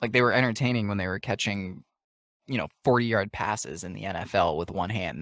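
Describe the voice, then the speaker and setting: A man speaks with an American accent, his voice showing vocal fry and a lively intonation. The recording is very clean with a silent background, and the sound is dry and close with no echo. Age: 20s. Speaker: podcast co-host. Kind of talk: casual chat.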